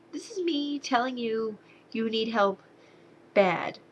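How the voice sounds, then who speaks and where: A woman's fairly high voice in an American accent, with lively intonation. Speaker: movie reviewer. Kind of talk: casual video review. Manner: animated.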